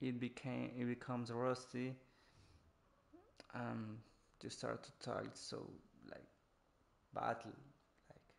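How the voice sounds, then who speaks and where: In a Spanish accent, a man speaks at a very slow pace with long, frequent pauses. His medium-pitched voice is monotone and flat, with big swings in loudness. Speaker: gaming streamer. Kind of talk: live gameplay commentary. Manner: halting, many restarts.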